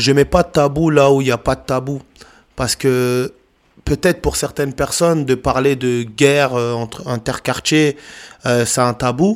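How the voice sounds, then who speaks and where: At a fairly slow pace, a man of medium pitch speaks with fairly even intonation in an unremarkable speaking voice. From Paris suburbs, France. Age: 30s. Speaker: youth anti-violence speaker, author, former prisoner. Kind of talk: testimony.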